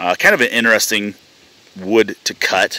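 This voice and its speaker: Over light background noise and with a dry sound free of echo, a man talks at a moderate pace in a normal speaking voice, fairly low in pitch with ordinary pitch variation. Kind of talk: casual walkthrough commentary. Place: open country. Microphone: phone near.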